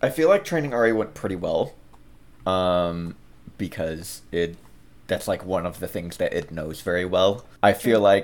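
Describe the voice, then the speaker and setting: Very deep, low pitch from a man, delivered fairly slowly. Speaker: tabletop game player. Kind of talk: tabletop roleplaying game chat.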